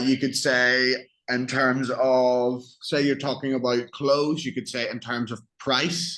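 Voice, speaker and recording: With music in the background, the speaker talks at a very slow pace in an Irish accent with monotone, flat intonation. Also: man, medium pitch for a man. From Northern Ireland. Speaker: English tutor. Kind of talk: online English lesson.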